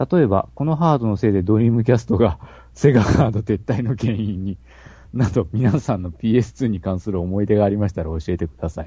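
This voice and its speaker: Speaking at a fairly quick pace, a man uses lively intonation with a fairly low pitch, a dark, mellow tone and a somewhat breathy quality. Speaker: podcast co-host. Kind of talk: casual chat.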